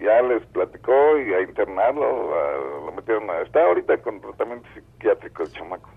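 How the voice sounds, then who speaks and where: A man with a Mexican accent talks at a moderate pace with hardly any pauses. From Mexico. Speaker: caller. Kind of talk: phone-in storytelling. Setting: phone call.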